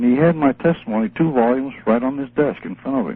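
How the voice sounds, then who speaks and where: A man keeps a fairly quick pace while noticeable background noise fills the recording. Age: 80s+. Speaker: retired army colonel. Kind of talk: radio interview. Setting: phone call.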